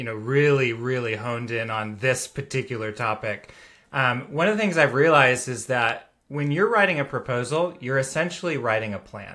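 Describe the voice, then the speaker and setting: A man with an American accent speaks at a moderate pace in a bright, sharp tone, with medium pitch, on a very clean recording against a silent background. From United States. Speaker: software founder, agency proposal expert. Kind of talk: podcast interview.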